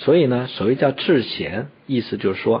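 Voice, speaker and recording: Lively intonation marks this man's medium-pitched delivery at a moderate pace. He has an ordinary speaking voice. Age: 40s. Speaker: traditional Chinese medicine teacher. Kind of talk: educational radio conversation.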